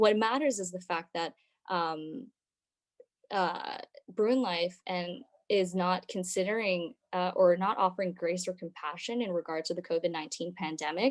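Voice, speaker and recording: A woman at a moderate pace, medium-pitched, with ordinary pitch variation. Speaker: student government member. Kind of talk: meeting report. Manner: halting.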